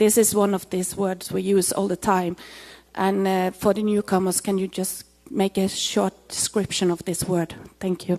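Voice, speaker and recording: A dark, mellow tone carries a non-native accent in a monotone, flat delivery, dry and close with no echo. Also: woman, medium pitch for a woman, moderate pace. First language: not English. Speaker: student asking a question. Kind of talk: audience question. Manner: halting.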